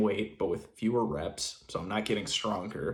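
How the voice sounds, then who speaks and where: The recording is very clean, with a silent background. A man speaks with a fairly low pitch. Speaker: natural bodybuilder vlogger. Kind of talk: casual vlog. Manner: casual with swearing; quiet so as not to wake daughter.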